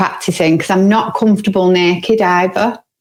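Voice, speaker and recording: In a northern English accent, a woman speaks at a moderate pace and medium pitch with fairly even intonation. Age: 40s. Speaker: podcast co-host. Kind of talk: casual chat.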